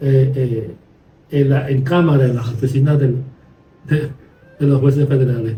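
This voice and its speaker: With audible room echo, a man talks at a fairly slow pace, his intonation fairly even and broken by long, frequent pauses. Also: medium pitch for a man. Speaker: podcast host, lawyer. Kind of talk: conversational podcast discussion.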